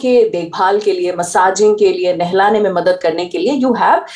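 A woman talks at a moderate pace with medium pitch and lively intonation. Background noise is noticeable. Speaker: radio host and parenting podcaster. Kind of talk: casual interview.

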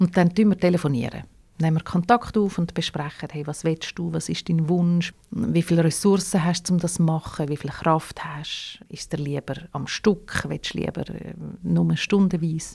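A woman with a Swiss accent speaks at a moderate pace in a fairly low, dark, mellow voice, somewhat breathy. Her intonation is fairly even, while her loudness swings widely. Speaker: radio host and founder of audio legacy project. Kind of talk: interview conversation.

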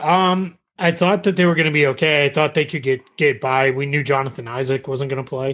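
A normal speaking voice from a man with an American accent, medium in pitch, with ordinary pitch variation and a moderate pace. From Massachusetts. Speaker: basketball writer. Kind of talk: podcast interview. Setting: remote call.

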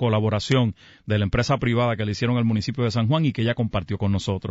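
A man speaks at a very fast pace with a Puerto Rican accent. His pitch is medium. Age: 60s. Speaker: mayor. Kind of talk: radio interview. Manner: halting.

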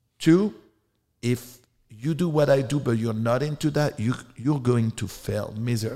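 With a French accent, a man speaks at a moderate pace in a dark, mellow, somewhat breathy tone and ordinary pitch variation. The recording is very clean, with a silent background. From France. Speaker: adult film director and performer. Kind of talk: interview.

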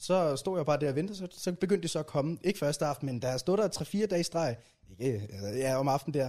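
This man talks at a fairly quick pace with a dark, mellow tone. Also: fairly high pitch for a man, ordinary pitch variation. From rural Jutland, Denmark. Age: 20s. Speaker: YouTuber and video editor. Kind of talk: casual interview chat. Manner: halting, repeats words.

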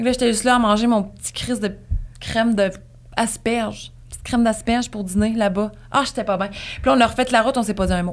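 Speaking very fast, a woman with a fairly high pitch and fairly even intonation shows big swings in loudness. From Gaspésie, Quebec. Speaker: podcaster. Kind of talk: casual chat.

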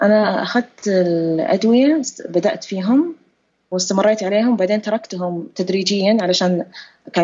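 Using an ordinary speaking voice, a woman of medium pitch talks at a fairly slow pace with lively intonation. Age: late 30s. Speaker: author sharing depression experience. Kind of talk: interview testimony.

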